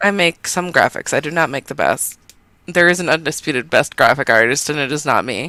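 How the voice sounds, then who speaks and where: On a very clean recording with a silent background, a woman speaks loudly at a fairly quick pace, her very deep, low pitch carrying a bright, sharp tone. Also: ordinary pitch variation, dry, close sound with no echo. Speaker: podcast co-host. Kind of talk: casual chat.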